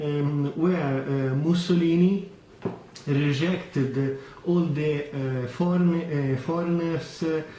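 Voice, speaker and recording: A man with an Italian accent talks at a very slow pace and fairly high pitch, with fairly even intonation. Audible room echo and noticeable background noise fill the recording. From Italy. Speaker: watch vlogger. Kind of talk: product review vlog. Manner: halting, many fillers.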